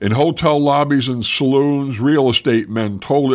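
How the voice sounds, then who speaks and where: A man with a plain, everyday voice speaks at a moderate pace, with medium pitch and ordinary pitch variation. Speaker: local history podcaster. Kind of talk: scripted historical narration. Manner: measured, storyteller-like pacing; conversational and warm, with a folksy tone.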